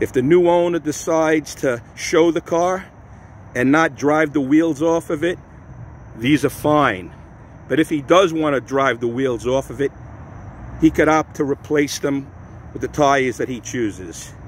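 A man at a fairly slow pace with long, frequent pauses and ordinary pitch variation, in dry sound with no echo and light background noise. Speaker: car seller. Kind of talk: sales walkaround narration. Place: street. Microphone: phone near.

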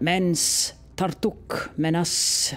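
This put-on character voice sits at a middle pitch. Hissing can be heard, along with clear music in the background. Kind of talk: broken, halting speech.

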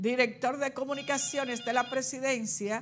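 A woman speaks in a high pitch with ordinary pitch variation. Light background noise is present. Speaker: TV show host. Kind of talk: live TV commentary and call-in chat. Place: studio. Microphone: lapel.

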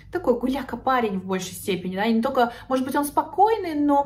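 This woman speaks with lively intonation. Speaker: psychologist blogger. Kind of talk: casual vlog chat. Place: home room. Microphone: phone near.

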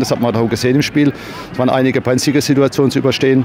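A man's intonation stays fairly even. Behind him, music is playing. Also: dry sound with no echo. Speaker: football club coach. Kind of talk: interview answer. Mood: proud, relieved after win. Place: stadium. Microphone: handheld.

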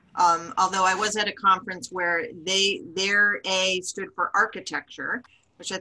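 Her tone bright and sharp, a woman speaks at a fairly slow pace and a medium pitch. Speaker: community manager and webinar host; webinar host. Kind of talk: webinar moderation. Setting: video call. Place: home room. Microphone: video call.

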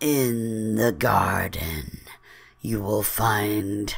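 A put-on character voice, low and soft-spoken, unfolds at a very slow pace. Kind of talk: horror narration. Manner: soft, ominous warning.

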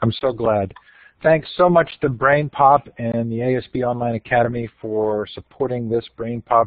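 Enthusiastic in tone, a man speaks at a fairly slow pace with a medium pitch. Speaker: conference organizer and moderator. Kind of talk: webinar hosting. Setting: online webinar.

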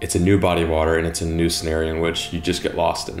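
A man's very deep, low voice at a fairly quick pace, with audible room echo and faint music in the background. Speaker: fishing video creator. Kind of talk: interview answer. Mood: calm, reflective. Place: home room.

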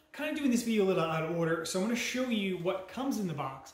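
Light background noise and audible room echo surround a man as he talks. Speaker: product reviewer. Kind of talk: casual product review. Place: home room.

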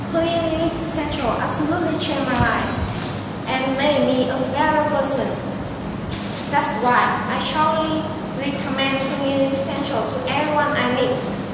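A woman talks at a moderate pace with long, frequent pauses, her voice carrying audible room echo over loud background noise. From Vietnam. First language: Vietnamese. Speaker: English learner. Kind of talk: prepared speech. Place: classroom. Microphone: camera far.

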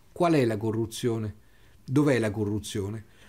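This man's voice sits at a medium pitch. He speaks at a fairly slow pace. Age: 60s. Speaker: wine critic. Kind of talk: interview storytelling. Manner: halting, with repetitions.

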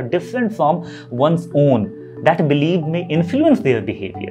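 Clear background music under a man at a moderate pace. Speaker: educator. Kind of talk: lecture. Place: studio.

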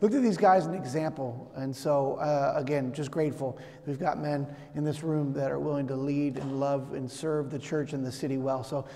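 A man talks with fairly level intonation, keeping to a moderate pace. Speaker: pastor. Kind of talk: sermon. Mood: warm, grateful. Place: church.

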